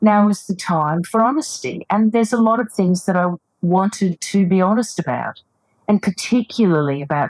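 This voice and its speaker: With lively intonation and an ordinary speaking voice, a woman talks at a moderate pace in a dry, close sound with no echo. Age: 60s. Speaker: psychotherapist and author. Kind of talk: interview.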